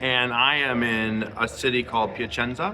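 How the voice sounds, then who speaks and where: Noticeable background noise accompanies a man whose pitch is medium. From Latin America. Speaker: missionary pastor. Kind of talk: interview. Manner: halting, many fillers.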